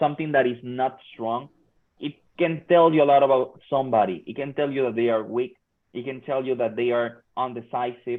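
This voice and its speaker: Fairly even intonation at a fairly quick pace, with a Spanish accent. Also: man, medium pitch for a man. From Mexico. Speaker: workforce trainer. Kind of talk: workshop talk.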